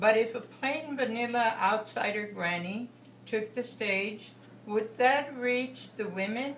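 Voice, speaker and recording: A woman with an American accent and a fairly high pitch at a very slow pace, with noticeable background noise. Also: ordinary pitch variation. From Texas, USA. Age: 70s. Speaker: political delegate. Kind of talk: political speech.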